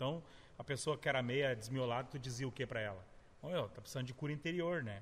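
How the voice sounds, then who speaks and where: A somewhat breathy man at medium pitch, talking very fast with ordinary pitch variation. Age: 40s. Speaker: pastor. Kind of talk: casual chat.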